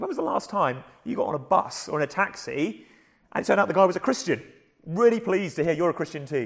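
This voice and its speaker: A very fast, high-pitched man with a southern English accent. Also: lively intonation. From southern England. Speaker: preacher. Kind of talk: sermon. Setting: church.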